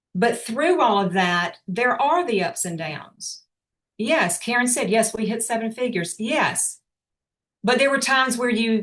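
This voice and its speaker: With an unremarkable speaking voice, a woman talks fairly slowly in a fairly high pitch with lively intonation. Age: 60s. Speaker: motivational speaker, business owner. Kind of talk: motivational talk on video call. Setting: video call.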